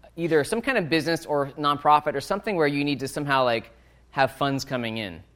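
This man has an unremarkable speaking voice, fairly high in pitch, with ordinary pitch variation and a fairly quick pace. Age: 40s. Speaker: author and sales entrepreneur. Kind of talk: talk to university students.

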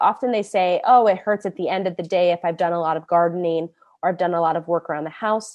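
Speaking at a very fast pace, a woman talks with an American accent. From US Midwest, Indianapolis. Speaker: hand surgeon. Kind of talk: public lecture.

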